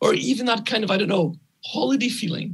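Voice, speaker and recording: A man with a Scottish accent speaks at a fairly quick pace, using ordinary pitch variation. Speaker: architect and urban planner. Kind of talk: conference lecture. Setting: conference talk.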